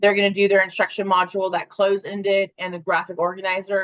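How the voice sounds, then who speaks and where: A woman at a very fast pace. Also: dry, close sound with no echo. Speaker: webinar presenter for an education company. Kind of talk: webinar presentation.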